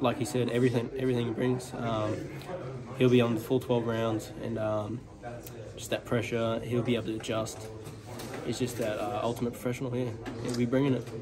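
Fairly quick speech from a man, with noticeable noise behind him. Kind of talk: interview answer. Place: gym. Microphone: phone near.

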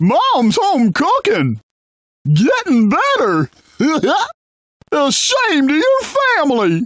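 The voice is high-pitched. It moves at a very slow pace. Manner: folksy, chipper.

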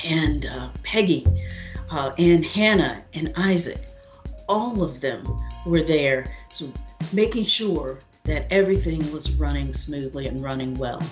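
A woman speaks at a fairly slow pace with long, frequent pauses. Clear music plays in the background. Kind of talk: interview answer. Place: home room. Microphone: webcam.

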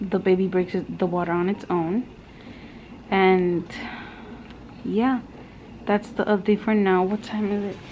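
Over light background noise, a woman talks at a fairly slow pace with fairly even intonation and long, frequent pauses. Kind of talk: casual vlog chat. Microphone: phone near.

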